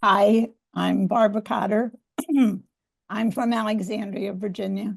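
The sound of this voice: In a put-on character voice, a woman speaks at a medium pitch and a moderate pace, hoarse and raspy, with monotone, flat intonation.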